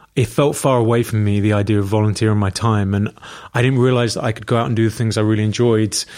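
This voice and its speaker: A man with a London accent speaks at a fairly low pitch with fairly even intonation, in a very clean recording with a silent background. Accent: British, London. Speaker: hairdresser and homelessness campaigner. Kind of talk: casual chat.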